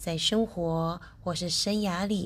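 A somewhat breathy woman speaks at a very slow pace and a medium pitch. The background is quiet. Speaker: podcast host and teacher. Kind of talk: casual radio-style talk.

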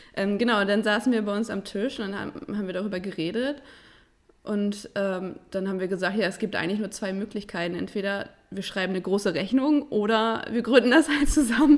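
A plain, everyday voice from a woman, medium in pitch with ordinary pitch variation, at a fairly quick pace. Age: 20s. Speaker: design agency co-founder. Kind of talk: interview.

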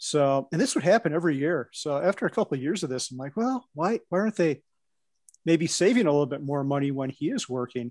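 A man with a fairly high pitch and lively intonation at a very fast pace, in a dry, close sound with no echo and a quiet background. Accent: Midwestern US. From US Midwest. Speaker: co-working space owner and investor. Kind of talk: casual podcast interview. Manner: nervous at first with new people.

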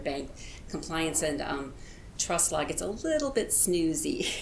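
Amid noticeable background noise and audible room echo, a woman talks at a very fast pace, her pitch fairly low with ordinary variation. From US Midwest, rural Illinois. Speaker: political candidate. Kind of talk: interview.

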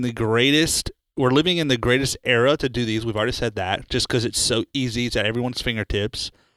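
A man's unremarkable speaking voice at medium pitch, with ordinary pitch variation and a fairly quick pace, dry and close with no echo, in a very clean recording with a silent background. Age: 30s. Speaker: executive pastor co-hosting church podcast. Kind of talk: casual chat.

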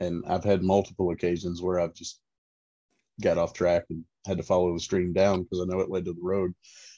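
A man with an American accent speaks in a very deep, low voice with a dark, mellow tone and monotone, flat intonation. His pace is fairly quick but broken by long, frequent pauses, and the sound is dry and close with no echo. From central Florida. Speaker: angler. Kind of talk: casual chat.

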